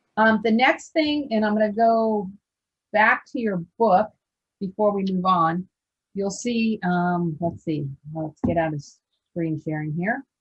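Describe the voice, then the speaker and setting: At a fairly slow pace with long, frequent pauses, a woman speaks in a medium pitch that is somewhat breathy, with lively intonation. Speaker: scholarship program trainer. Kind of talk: training presentation over video call. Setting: video call.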